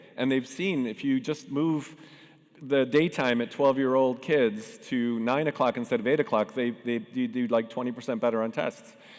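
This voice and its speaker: This man has a plain, everyday voice of medium pitch, with ordinary pitch variation and a moderate pace. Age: 60s. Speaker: tech founder and panel moderator. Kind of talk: conference panel talk.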